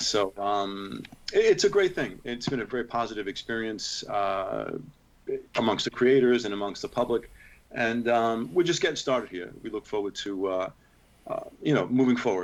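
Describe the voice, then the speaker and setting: A plain, everyday voice, moderately paced, its pitch varying in an ordinary way. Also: man, medium pitch for a man. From New York City. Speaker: heavy metal singer and comic book writer. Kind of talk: interview answer. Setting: remote video call.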